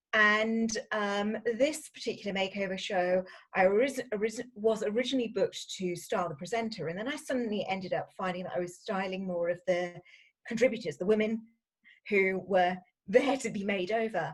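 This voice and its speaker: Somewhat breathy, a woman speaks with a British accent. Her pace is moderate. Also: medium pitch for a woman, ordinary pitch variation. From UK. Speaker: fashion stylist. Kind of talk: interview.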